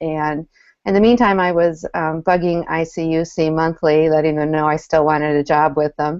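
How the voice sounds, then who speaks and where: A woman with a Minnesota accent speaks at a moderate pace in a fairly low pitch. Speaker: community manager. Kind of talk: panel discussion.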